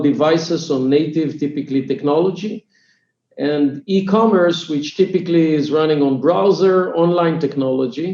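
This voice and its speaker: A dark, mellow tone with an Israeli accent, ordinary pitch variation and a moderate pace. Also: man. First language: Hebrew. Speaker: startup CEO and co-founder. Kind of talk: podcast interview. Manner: halting, many fillers.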